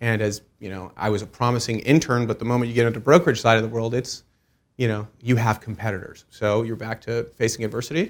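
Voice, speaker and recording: The recording is very clean, with a silent background. A man with an American accent speaks very fast at a medium pitch with fairly even intonation. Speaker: commercial real estate broker. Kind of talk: interview.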